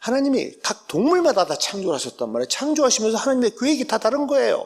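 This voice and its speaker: At a very fast pace, a man talks in an extremely high voice with very wide pitch swings. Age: 60s. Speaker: professor. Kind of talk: lecture. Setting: church.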